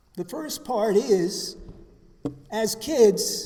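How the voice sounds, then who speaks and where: Against noticeable background noise and audible room echo, a man speaks at a high pitch. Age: 70s. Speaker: recovery speaker. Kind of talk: testimony. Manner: halting.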